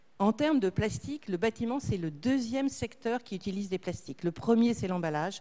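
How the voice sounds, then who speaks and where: Her intonation is lively as the woman speaks. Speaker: association head / speaker on plastics recycling. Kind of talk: conference talk. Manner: fast.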